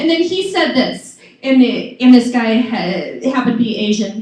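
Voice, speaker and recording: Moderate-paced woman with audible room echo. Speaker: stand-up comedian. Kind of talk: stand-up. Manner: stutter.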